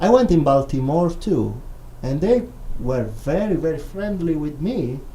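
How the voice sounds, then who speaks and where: There is audible room echo as a man speaks at a fairly slow pace. His fairly high voice carries an Italian accent. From Italy, Rome. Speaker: filmmaker and visiting scholar. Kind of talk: radio interview. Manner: halting, non-native phrasing.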